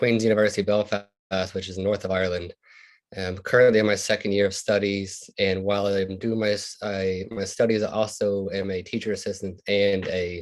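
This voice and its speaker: A man's fairly low voice with an American accent, monotone and flat, at a fairly quick pace against a quiet background. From US South, Louisiana. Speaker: doctoral student and alumnus. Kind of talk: panel discussion.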